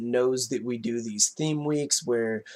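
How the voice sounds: A nasal man's voice with fairly even intonation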